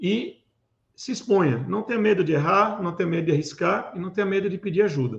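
A high-pitched man speaking at a fairly quick pace with lively intonation. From Recife, Pernambuco, Brazil. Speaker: cybersecurity manager and event organizer. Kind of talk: interview. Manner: hesitant with fillers.

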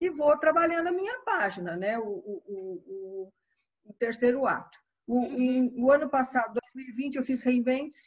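The speech moves at a fairly slow pace with lively intonation and big swings in loudness. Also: woman, high pitch for a woman. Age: 60s. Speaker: retired educator and writer. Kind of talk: interview. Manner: halting.

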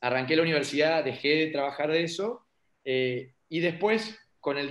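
A man talks at a fairly quick pace in an ordinary speaking voice, pitched fairly high. His pitch varies in an ordinary way. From Argentina, Paraná (Entre Ríos). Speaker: local politician. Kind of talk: interview.

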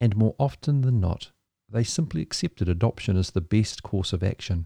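A dark, mellow, somewhat breathy voice with a New Zealand accent and lively intonation, at a fairly quick pace, in a very clean, dry, close recording with a silent background and no echo. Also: man. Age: 50s. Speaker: podcast host in maritime ministry. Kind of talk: scripted narration.

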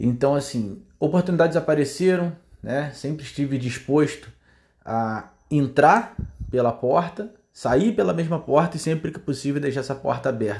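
A man's fairly high, somewhat breathy voice, animated in tone, at a moderate pace, on a very clean recording with a silent background. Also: ordinary pitch variation. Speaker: car detailing business owner. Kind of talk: monologue podcast. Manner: casual, animated.

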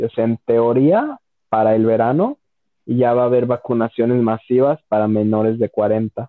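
An ordinary speaking voice at a fairly slow pace. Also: man. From Mexico, León, Guanajuato. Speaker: podcast host. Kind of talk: casual chat.

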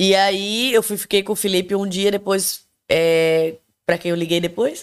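On a very clean recording with a silent background, a woman speaks at a fairly slow pace with medium pitch and ordinary pitch variation. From Brazil, Recife (Pernambuco). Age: 30s. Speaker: podcast guest. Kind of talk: casual chat. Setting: home bathroom studio.

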